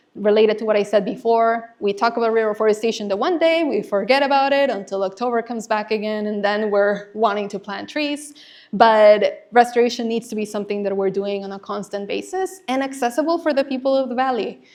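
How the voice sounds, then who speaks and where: Speaking fairly quickly with hardly any pauses, a woman with a Spanish accent uses a fairly high pitch and ordinary pitch variation. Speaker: conservation nonprofit manager, former teacher. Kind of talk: presentation.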